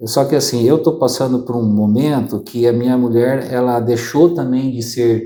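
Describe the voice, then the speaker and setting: With fairly even intonation, a man talks in a dark, mellow tone. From southern Brazil (Maringá, Paraná). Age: 40s. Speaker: accountant and business consultant. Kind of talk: interview. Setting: office studio.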